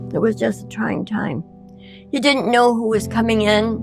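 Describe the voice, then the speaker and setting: A woman speaking at a fairly slow pace, with music in the background. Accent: American. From Elmira, New York, USA. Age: 80s+. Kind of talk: interview answer.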